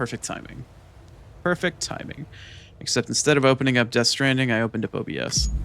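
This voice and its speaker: With music in the background, a man speaks at a very fast pace with long, frequent pauses, a medium pitch and ordinary pitch variation. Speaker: blind vtuber streamer. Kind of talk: live gameplay commentary.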